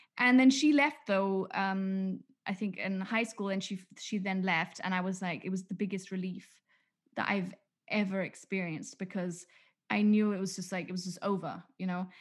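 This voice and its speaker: A woman speaks at a moderate pace in a medium pitch, somewhat breathy, with ordinary pitch variation and a quiet background. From England. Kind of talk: casual chat.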